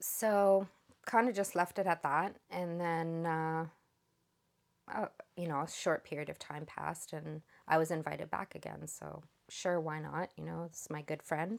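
Using a normal speaking voice, a woman talks at a moderate pace and fairly low pitch with fairly even intonation. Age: 50s. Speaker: survivor of spiritual abuse. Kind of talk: testimony.

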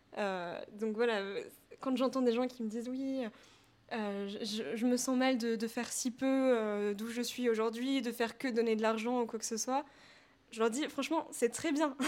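Pausing long and often, a woman talks at a fairly slow pace in a fairly high voice with fairly even intonation. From France, Paris. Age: 20s. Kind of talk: interview conversation.

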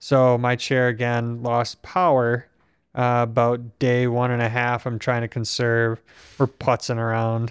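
Speaking at a fairly slow pace, a man has a medium pitch and monotone, flat intonation in an American accent. The background is quiet. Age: 30s. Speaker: podcast host, quadriplegic injury survivor. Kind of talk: casual conversation. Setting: home podcast studio.

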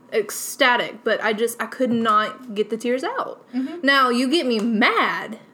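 Over noticeable background noise, a woman talks at a fairly slow pace with hardly any pauses. Her voice is high, with ordinary pitch variation. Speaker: podcast co-host. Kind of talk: casual chat.

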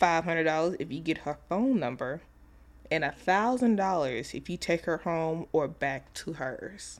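A woman's ordinary speaking voice, fairly low in pitch, with lively intonation at a moderate pace. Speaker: podcast co-host. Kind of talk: casual chat.

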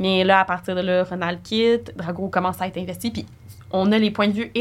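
A woman's ordinary speaking voice, medium in pitch, fairly quick in pace, with ordinary pitch variation. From Quebec. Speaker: podcast co-host. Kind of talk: casual chat.

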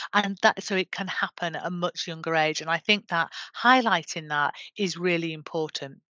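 A woman with a Yorkshire accent speaks at a fairly low pitch. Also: ordinary pitch variation, moderate pace. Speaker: government menopause champion. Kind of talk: interview.

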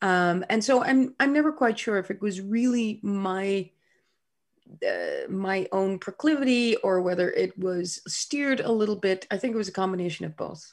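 A woman with a Dutch accent, somewhat breathy and medium-pitched, with ordinary pitch variation at a moderate pace, in a very clean recording with a silent background. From Netherlands, Groningen. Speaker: scientist. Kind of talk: interview.

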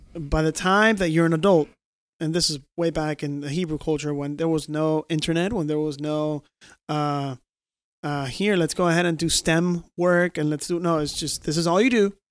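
Recorded very cleanly against a silent background, a man with a fairly high pitch and an ordinary speaking voice speaks at a moderate pace with fairly even intonation. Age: 30s. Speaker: podcast host. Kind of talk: casual chat.

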